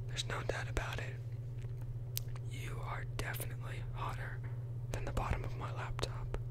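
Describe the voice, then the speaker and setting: Man at a moderate pace with long, frequent pauses, loud background noise behind him. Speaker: ASMR creator. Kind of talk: bad pickup lines read in a humorous way. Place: home room. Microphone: studio mic.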